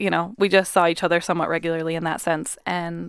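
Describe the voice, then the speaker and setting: On a very clean recording with a silent background, a woman with a fairly low pitch speaks at a fairly quick pace with fairly even intonation. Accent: American. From US Pacific Northwest (Puyallup, Washington). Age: 20s. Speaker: high school teacher and mother. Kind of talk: personal testimony in interview.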